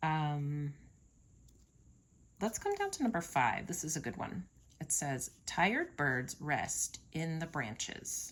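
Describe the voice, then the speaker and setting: A woman speaks in a very deep, low, somewhat breathy voice. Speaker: teacher. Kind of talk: tutorial.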